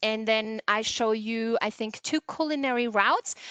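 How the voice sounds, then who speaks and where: A woman with a German accent speaks at a fairly high pitch in a bright, sharp tone, recorded dry and close with no echo. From Germany, Kassel in Hesse. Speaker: tourism board representative. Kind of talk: webinar presentation. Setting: video call.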